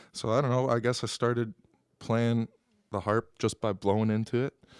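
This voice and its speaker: A man with an American accent at a fairly quick pace, in a very clean recording with a silent background. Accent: Upper Midwest, faint. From Wisconsin (Appleton area). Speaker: singer-songwriter. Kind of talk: audience Q&A. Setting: live venue with audience. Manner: hesitant, many fillers.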